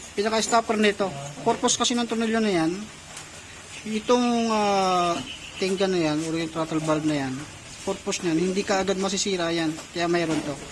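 Noticeable noise in the background accompanies fairly quick talking. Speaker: motorcycle mechanic. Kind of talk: tutorial.

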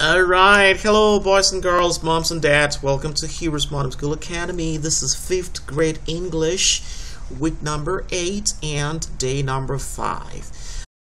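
Noticeable noise fills the background as the words come at a fairly slow pace. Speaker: homeschool teacher. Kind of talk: lecture.

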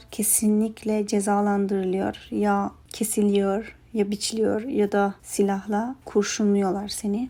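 A woman's voice at a fairly high pitch. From Afghanistan, then southern Turkey. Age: 20s. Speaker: interior design student. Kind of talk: interview answers.

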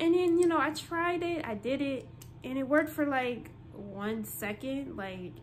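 Light background noise sits behind a woman whose lively intonation moves along at a moderate pace. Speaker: vlogger. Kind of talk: casual vlog chat. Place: home room. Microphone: phone near.

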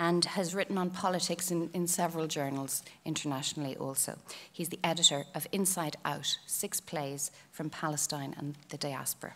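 With an Irish accent, a woman speaks at a moderate pace. Her pitch is fairly low, with ordinary pitch variation. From Ireland. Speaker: panel chair. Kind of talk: formal introductions. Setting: stage with audience. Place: stage. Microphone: podium.

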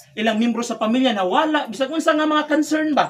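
The speech moves at a fairly quick pace. Light background noise runs underneath. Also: man. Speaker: priest. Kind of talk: fervent prayer. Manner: earnest, rapid devotional delivery; rising, pleading fervor with amens. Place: church. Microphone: camera far.

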